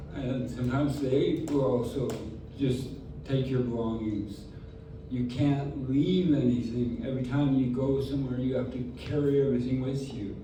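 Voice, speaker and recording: Noticeable background noise and audible room echo surround a man's medium-pitched voice. He keeps a moderate pace with fairly even intonation. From southwestern Canada. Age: 60s. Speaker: houseless community member sharing story. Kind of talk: testimony.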